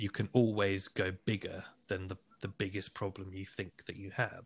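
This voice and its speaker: A man with a fairly low, somewhat breathy voice talks at a moderate pace in a monotone, flat intonation. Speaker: film director and podcaster. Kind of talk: casual chat.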